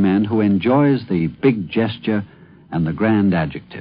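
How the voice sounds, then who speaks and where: A man has an ordinary speaking voice, fairly low in pitch. He talks at a moderate pace with lively intonation. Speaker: commentator. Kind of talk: radio essay commentary.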